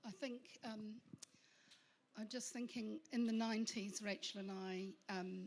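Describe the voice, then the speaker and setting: Ordinary pitch variation marks this woman's speech. She keeps a moderate pace. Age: 60s. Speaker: panel guest. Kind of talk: panel discussion.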